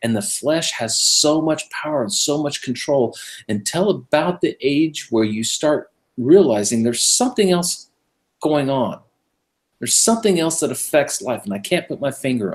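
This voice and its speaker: On a very clean recording with a silent background, a man with a Californian accent speaks at a fairly high pitch, making very wide pitch swings. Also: moderate pace. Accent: General American (Californian). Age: 50s. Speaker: radio show host, Messianic believer. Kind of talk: casual interview chat.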